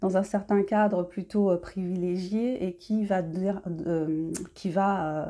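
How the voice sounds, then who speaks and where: On a very clean recording with a silent background, the voice has a dark, mellow tone, fairly even intonation and a very slow pace. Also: woman, medium pitch for a woman. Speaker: independent novelist. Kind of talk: casual talk to camera. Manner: hesitant, many fillers.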